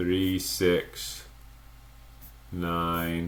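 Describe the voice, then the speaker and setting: A man speaks at a very deep, low pitch. There is audible room echo. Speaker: math teacher. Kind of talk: lecture. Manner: slow.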